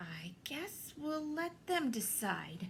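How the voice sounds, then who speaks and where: A woman uses a put-on character voice with a high pitch. Her pitch swings very widely. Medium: read story.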